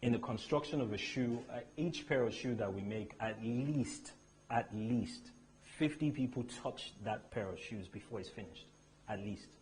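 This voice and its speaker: Speaking at a medium pitch, a man sounds somewhat breathy. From Nigeria, Lagos area. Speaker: luxury shoe brand founder. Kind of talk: motivational talk. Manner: animated.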